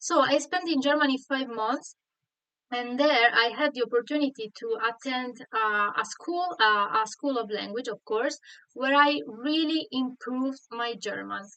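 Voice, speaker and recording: With a Sardinian accent, a woman speaks in a high pitch at a fairly slow pace. Her intonation is lively. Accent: Italian (Sardinian) accent in English. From Sardinia, Italy. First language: Italian. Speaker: online Italian teacher. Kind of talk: live online lesson. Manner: halting, many fillers.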